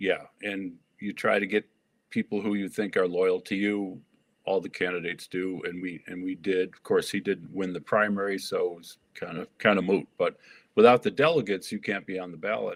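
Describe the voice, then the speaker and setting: A man with an American accent speaks in a plain, everyday voice at a moderate pace. His pitch is fairly low with fairly even intonation, while his loudness swings widely. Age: 60s. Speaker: political candidate. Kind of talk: interview.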